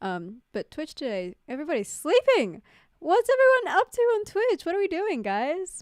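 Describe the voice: The pace is moderate. Pitch moves in very wide swings. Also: woman, extremely high pitch for a woman.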